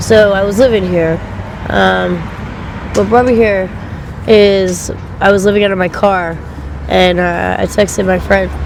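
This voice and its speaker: Fairly slow speech with long, frequent pauses, noticeable background noise and audible room echo. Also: woman. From Pennsylvania, Delaware County and western PA. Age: 20s. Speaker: interviewee. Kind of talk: street interview. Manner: casual, hesitant with many ums.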